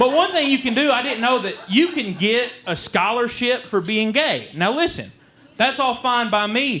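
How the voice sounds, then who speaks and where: Extremely high-pitched, raised and projected male voice with lively intonation at a moderate pace, plus audible room echo and noticeable background noise. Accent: Eastern Kentucky. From Eastern Kentucky. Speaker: comedian. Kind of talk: stand-up. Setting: stage with audience.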